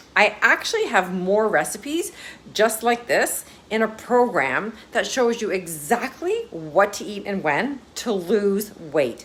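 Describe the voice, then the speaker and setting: Noticeable background noise sits behind the speech. A woman with a fairly high pitch talks very slowly, her pitch swinging very widely. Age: 50s. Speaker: wellness coach. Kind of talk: social media tips video.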